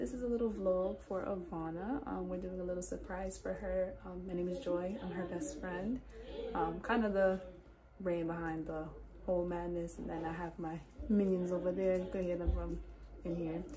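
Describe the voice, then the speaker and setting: Noticeable background noise sits behind a woman whose pitch is fairly low. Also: ordinary pitch variation, moderate pace. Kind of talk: casual vlog chat. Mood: warm, affectionate. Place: home room. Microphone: phone near.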